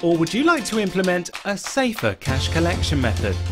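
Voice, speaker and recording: A man is speaking. Clear music runs in the background. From British. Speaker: voice actor. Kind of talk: corporate explainer narration. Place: studio. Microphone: studio mic.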